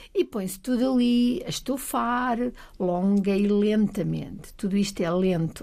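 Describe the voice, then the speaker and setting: A woman's dark, mellow tone at a fairly slow pace. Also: medium pitch for a woman, ordinary pitch variation. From Portugal, Trás-os-Montes (Bragança). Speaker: science centre agency president. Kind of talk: casual chat.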